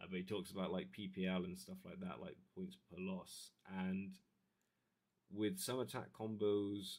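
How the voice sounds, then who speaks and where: A man mumbles. His pace is moderate. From Devon, southwest England. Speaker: YouTube streamer, hobbyist. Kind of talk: casual livestream chat. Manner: mumbly; soft-spoken.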